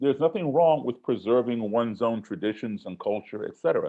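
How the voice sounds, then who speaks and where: A man speaks in an ordinary speaking voice at a medium pitch. His intonation is lively, and the background is quiet. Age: 60s. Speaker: musician and race relations speaker. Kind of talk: webinar talk.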